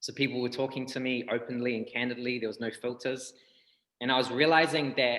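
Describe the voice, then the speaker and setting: Speaking at a moderate pace, a man with a New Zealand accent has a medium pitch. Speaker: breathwork healer, rapper, tattooer. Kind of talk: interview answer.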